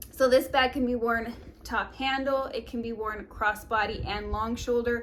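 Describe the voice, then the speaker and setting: Vocal fry marks this woman's voice as she talks at a moderate pace. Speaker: fashion and beauty YouTuber. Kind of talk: product review vlog. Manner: animated.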